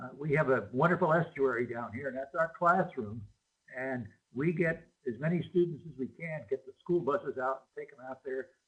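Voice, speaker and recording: Somewhat breathy and fairly high-pitched, a man talks at a moderate pace with ordinary pitch variation. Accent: American. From US Midwest, Chicago. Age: 70s. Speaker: marine biologist and educator. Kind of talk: remote talk to school students with Q&A. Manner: casual, hesitant with many fillers.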